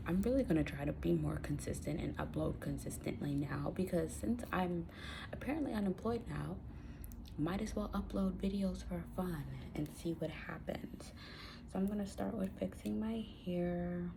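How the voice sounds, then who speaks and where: A quiet woman at a moderate pace, with audible room echo. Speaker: YouTuber. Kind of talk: get-ready-with-me vlog chat. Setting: at home. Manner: speaking quietly, low volume.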